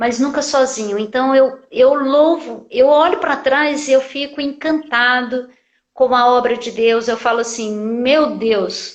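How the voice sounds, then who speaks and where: A woman's high-pitched voice, with ordinary pitch variation and a very slow pace. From Brasília, Brazil (born in Piauí). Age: 50s. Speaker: church minister and church planter. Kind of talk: interview testimony. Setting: online live stream.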